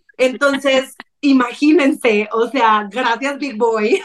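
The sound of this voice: High-pitched and raspy, a woman speaks at a slow pace. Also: ordinary pitch variation.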